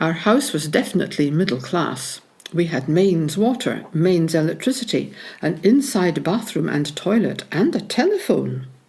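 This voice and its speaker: A woman with a Scottish accent speaks at a moderate pace in a fairly low pitch, her voice swinging very widely up and down. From Scotland, Peebles (Scottish Borders). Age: 70s. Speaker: local history interviewee. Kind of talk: reminiscence, reading prepared memoir.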